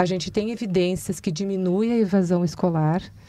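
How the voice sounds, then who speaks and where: A woman's dark, mellow tone with ordinary pitch variation, in a dry sound with no echo. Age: 50s. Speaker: school principal; guest. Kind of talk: interview. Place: studio. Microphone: studio mic.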